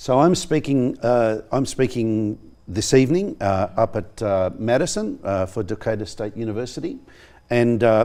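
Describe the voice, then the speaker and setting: Speaking with an Australian accent, a man uses a medium-pitched voice with a dark, mellow tone and ordinary pitch variation. He keeps a moderate pace on a very clean recording with a silent background. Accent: thick Australian. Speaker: professor. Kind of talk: studio interview. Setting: TV studio. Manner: halting, many fillers.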